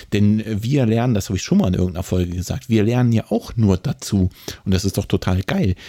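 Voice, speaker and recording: Fairly low male voice at a fairly quick pace, dark and mellow, with ordinary pitch variation and a dry, close sound with no echo. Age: 30s. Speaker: running podcast co-host. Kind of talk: casual chat. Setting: remote recording.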